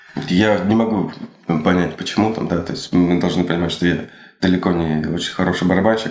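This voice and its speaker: With audible room echo and noticeable background noise, a man with a very deep, low voice talks fairly quickly and with fairly even intonation. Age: 30s. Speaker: drummer. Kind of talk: interview. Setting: studio.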